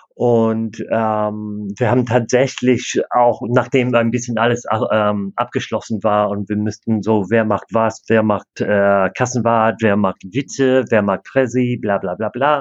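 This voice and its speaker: With an English accent, a man speaks at a very slow pace and medium pitch, monotone and flat, with hardly any pauses. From Canada. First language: English (speaking German). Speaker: disc golf club president and player. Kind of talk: interview. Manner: halting, many fillers.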